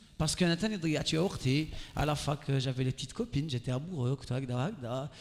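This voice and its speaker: Somewhat breathy and animated in tone, a man talks at a very fast pace in a fairly high pitch. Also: ordinary pitch variation. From Algeria. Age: 30s. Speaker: radio and TV host, motivational speaker. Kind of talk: motivational talk to a live audience. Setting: stage with audience.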